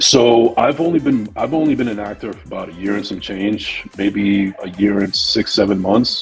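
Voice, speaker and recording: A man with a New Jersey accent and a fairly low pitch, at a moderate pace with hardly any pauses, big swings in loudness, and music in the background. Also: ordinary pitch variation. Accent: New Jersey American English. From New Jersey, USA. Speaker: podcaster and actor. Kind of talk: interview answer.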